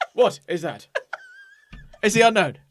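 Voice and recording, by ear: A man puts on a robotic character voice at a high pitch. Music plays in the background.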